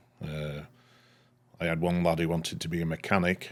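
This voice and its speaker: A man with a Lancashire accent talks at a fairly quick pace. His very deep, low voice sits on a very clean recording with a silent background. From northern England, Leigh, Lancashire. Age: 60s. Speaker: structural engineer. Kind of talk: casual interview chat.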